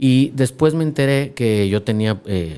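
Dark and mellow in tone, this man's voice shows ordinary pitch variation. Nothing but silence lies behind his very clean recording. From Mexico, Lagos de Moreno, Jalisco. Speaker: finance company director, economist. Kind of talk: interview.

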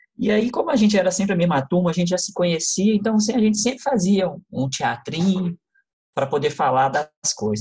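This man's voice comes across as somewhat breathy. He speaks at a fairly quick pace. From Brazil, Contagem (Minas Gerais). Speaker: lighting designer and actor. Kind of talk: interview.

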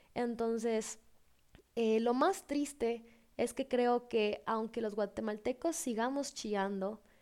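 A woman's fairly high voice at a very slow pace, with ordinary pitch variation, on a very clean recording with a silent background. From Guatemala. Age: 20s. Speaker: podcast host. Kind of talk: casual monologue.

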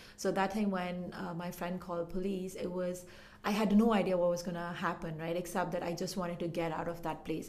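A woman speaks at a fairly quick pace in a fairly low, monotone, flat voice with hardly any pauses. Noticeable background noise and audible room echo fill the recording. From Pakistan. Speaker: community development worker. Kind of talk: interview.

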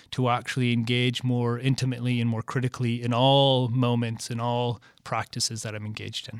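On a very clean recording with a silent background, a man with an American accent and a normal speaking voice talks at a fairly quick pace and medium pitch. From Michigan. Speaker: artist and professor. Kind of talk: interview.

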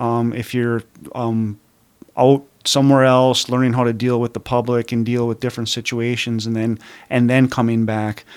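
In a very clean recording with a silent background, a man with an American accent speaks at a medium pitch and a moderate pace. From Upper Peninsula of Michigan, Calumet. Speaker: state police commander. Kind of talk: radio interview. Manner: hesitant, many fillers.

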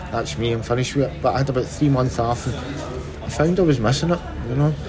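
Audible room echo surrounds a man speaking in a Glaswegian accent. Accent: Glaswegian Scottish. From Scotland, Glasgow (Castlemilk). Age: 40s. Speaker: retired professional footballer. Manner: halting.

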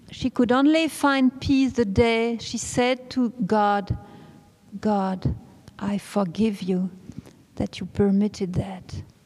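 A woman speaks with a non-native accent at a fairly high pitch. Her pace is very slow. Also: ordinary pitch variation. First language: not English. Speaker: preacher at a religious retreat. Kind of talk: sermon. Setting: church.

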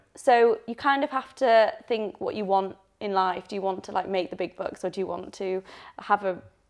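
Someone with a Yorkshire accent talks at a fairly quick pace with lively intonation. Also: woman. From northern England, Leeds. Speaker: doctor and personal trainer. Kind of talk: interview.

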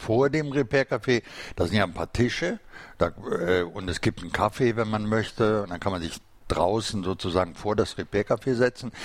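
With an ordinary speaking voice, a man talks at a fairly low pitch and with lively intonation. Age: 60s. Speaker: podcast host. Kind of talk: casual interview. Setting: studio.

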